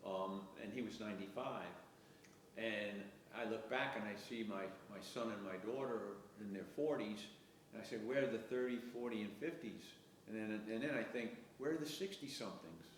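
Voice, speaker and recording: A man speaks at a medium pitch and moderate pace, with ordinary pitch variation and long, frequent pauses. Noticeable background noise and audible room echo surround his voice. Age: 70s. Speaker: community volunteer. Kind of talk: interview.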